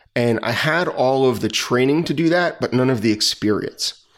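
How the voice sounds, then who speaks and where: A man with a normal speaking voice and a medium pitch, moderate pace, in a very clean recording with a silent background. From New Jersey. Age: 40s. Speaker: retired police officer. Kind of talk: interview.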